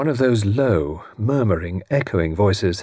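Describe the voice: The voice reads plainly aloud. Its intonation is lively.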